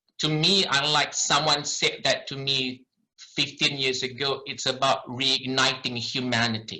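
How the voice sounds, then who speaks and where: A man with a Malaysian accent, a fairly high pitch and a bright, sharp tone. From Malaysia, later Ireland. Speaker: doctor. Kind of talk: lecture.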